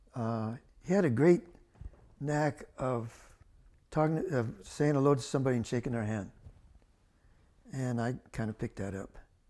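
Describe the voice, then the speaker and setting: A man with an American accent speaks at a moderate pace in a dark, mellow tone, his medium pitch rising and falling in an ordinary way. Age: 80s+. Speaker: land appraiser. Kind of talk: oral history interview answer.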